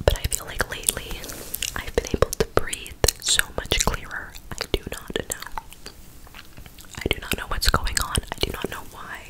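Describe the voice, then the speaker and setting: A soft-spoken woman whispers at a moderate pace. She leaves long, frequent pauses. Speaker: ASMR creator. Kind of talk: soft ASMR chat to viewers. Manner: soft close-mic ASMR whisper. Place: home room. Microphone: studio mic.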